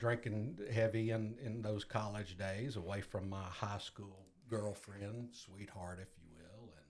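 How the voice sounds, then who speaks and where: In an unremarkable speaking voice, a man with an American accent talks at a fairly slow pace and a fairly low pitch. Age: 60s. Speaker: guest in recovery. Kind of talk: testimony.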